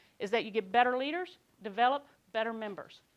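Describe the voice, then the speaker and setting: A woman's high voice in a Kentucky accent on a very clean recording with a silent background. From Kentucky, Lexington area. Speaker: conference speaker, quality control worker. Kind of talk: conference talk.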